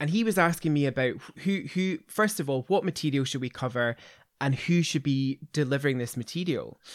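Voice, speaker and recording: The speaker talks at a fairly quick pace in a Glaswegian accent, with ordinary pitch variation. The sound is dry and close, with no echo. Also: man, fairly high pitch for a man. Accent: Glaswegian Scottish. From Scotland, Glasgow area. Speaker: veterinary specialist, podcast host. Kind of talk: casual interview and clinical discussion.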